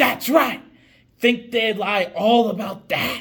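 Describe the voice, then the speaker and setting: Using a put-on character voice, a man speaks at a fairly slow pace with high pitch and ordinary pitch variation. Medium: short film. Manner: loud, sneering, hostile.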